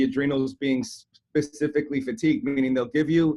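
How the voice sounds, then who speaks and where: Here is a man with a Canadian accent. His voice sits fairly high in pitch. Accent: Canadian, noticeable. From Canada, Toronto. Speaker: chiropractor and health coach. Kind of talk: podcast interview.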